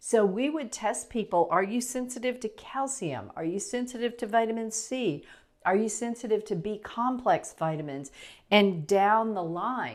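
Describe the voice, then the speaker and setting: An unremarkable speaking voice, a woman with fairly high pitch at a moderate pace, on a very clean recording with a silent background. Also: lively intonation. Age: 60s. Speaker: natural health practitioner. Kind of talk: casual explainer talk to camera. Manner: conversational, with fillers and restarts.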